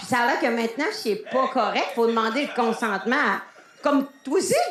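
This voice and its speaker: A high-pitched woman's voice in a Lac-Saint-Jean accent, lively intonation, moderate pace, audible room echo. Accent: Lac-Saint-Jean Quebec French. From Quebec, Lac-Saint-Jean. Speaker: stand-up comedian. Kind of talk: improvised stand-up. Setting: stage with audience. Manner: halting.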